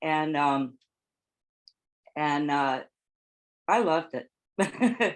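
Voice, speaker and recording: A woman with an American accent speaks at a very deep, low pitch with lively intonation. She goes at a very slow pace with long, frequent pauses over a quiet background. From California. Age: 70s. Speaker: former typesetter and caregiver. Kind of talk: oral history interview.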